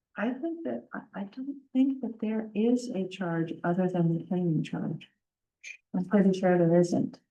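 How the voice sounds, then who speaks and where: Soft-spoken and somewhat breathy, a woman with a dark, mellow tone and medium pitch talks at a fairly slow pace. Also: lively intonation. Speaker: parks committee member. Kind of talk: committee meeting discussion.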